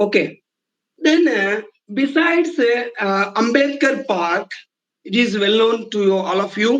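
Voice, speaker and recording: A man's high-pitched voice in a Telugu accent, bright and sharp in tone, with lively intonation and a fairly slow pace. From India, Telugu-speaking region. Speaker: Sanskrit professor. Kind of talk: lecture. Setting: online lecture. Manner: repetitive, halting with fillers.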